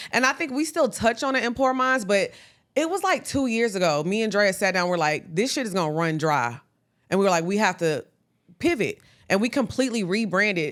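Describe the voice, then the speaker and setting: Loud and fairly quick, a woman at a medium pitch speaks with very wide pitch swings, captured in a very clean recording against a silent background. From Texas (small country town, Orange). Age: 30s. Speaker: podcast co-host. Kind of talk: casual interview chat.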